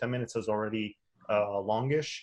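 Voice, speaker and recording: Medium pitch from a male speaker, with a non-native accent. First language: not English. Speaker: online course instructor. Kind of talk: webinar presentation. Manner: halting, many fillers and restarts.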